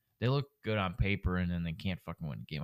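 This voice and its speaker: This man's voice is very deep and low, with vocal fry. His intonation is lively. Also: dry, close sound with no echo. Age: 20s. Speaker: sports betting podcast co-host. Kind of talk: casual chat.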